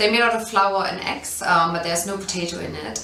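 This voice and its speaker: With a German accent and ordinary pitch variation, a woman speaks amid audible room echo and noticeable background noise. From East Germany. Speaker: food business founder. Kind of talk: interview. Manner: hesitant, many fillers.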